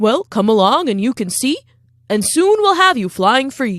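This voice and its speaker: A woman's put-on character voice at a high pitch, with very wide pitch swings and a moderate pace. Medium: read story. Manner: friendly, eager.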